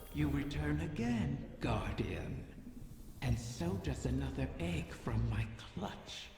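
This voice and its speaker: A put-on character voice drops to a very deep, low pitch at a fairly slow pace. Clear echo and clear background noise fill the recording. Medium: machinima. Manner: silky, languid, insinuating.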